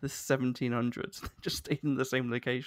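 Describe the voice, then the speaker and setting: The speaker has a Southern English accent. The pace is moderate. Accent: southern English, sounds posh. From London, England. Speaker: podcast host. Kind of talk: casual interview chat.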